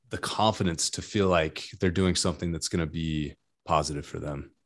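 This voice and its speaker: This man talks at a moderate pace, with a quiet background behind him. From California. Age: 30s. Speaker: fitness equipment inventor. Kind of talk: casual interview chat.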